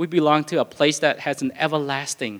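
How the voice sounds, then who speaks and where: Speaking with a non-native accent, a man uses a fairly high pitch, ordinary pitch variation and a moderate pace. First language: not English. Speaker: pastor. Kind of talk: sermon. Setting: church. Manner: halting, with fillers and repetitions.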